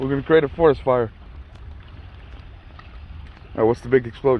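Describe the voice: Over faint background noise, a man speaks at a moderate pace with ordinary pitch variation. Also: medium pitch for a man.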